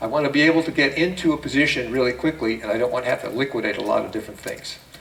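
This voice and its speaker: Noticeable background noise sits under speech delivered at a very fast pace with ordinary pitch variation. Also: man. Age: 70s. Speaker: trading seminar presenter. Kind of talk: seminar presentation. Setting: room with live audience. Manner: conversational, halting with fillers.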